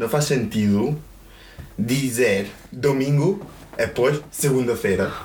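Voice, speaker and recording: Audible room echo surrounds a man speaking very slowly at a medium pitch with ordinary pitch variation. He leaves long, frequent pauses. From Greece. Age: 20s. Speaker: guest friend. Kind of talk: casual chat. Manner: halting.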